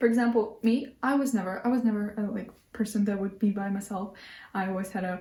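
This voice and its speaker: With a non-native accent, a woman speaks in a somewhat breathy, dark, mellow tone at a fairly high pitch and with fairly even intonation. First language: not English. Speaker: lifestyle vlogger. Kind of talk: casual monologue to camera. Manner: halting, many restarts.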